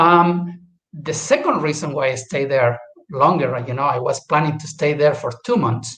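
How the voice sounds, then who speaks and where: With a Chilean accent, a man talks at a moderate pace in a fairly high pitch, using ordinary pitch variation. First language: Spanish. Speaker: guest speaker. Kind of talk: casual talk. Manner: halting.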